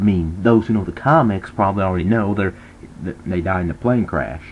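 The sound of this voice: A man's low voice, fairly quick, with ordinary pitch variation.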